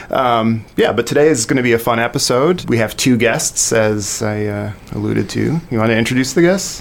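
Over noticeable background noise, a man speaks at a moderate pace in a medium pitch. His pitch varies in an ordinary way and he uses hardly any pauses. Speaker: podcast host. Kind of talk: casual chat.

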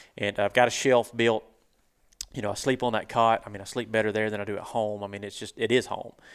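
At a very fast pace, a man with a Southern US accent talks in a fairly low pitch with monotone, flat intonation. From US South. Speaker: turkey hunter and online show host. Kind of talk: casual interview chat. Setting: hunting convention.

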